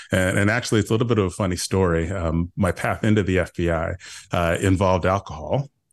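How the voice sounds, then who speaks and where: The speech comes at a very fast pace with very even loudness. Pitch varies in an ordinary way over a quiet background. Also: man, very deep, low pitch for a man. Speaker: retired FBI agent and cyber evangelist. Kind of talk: casual interview. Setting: remote recording with microphone.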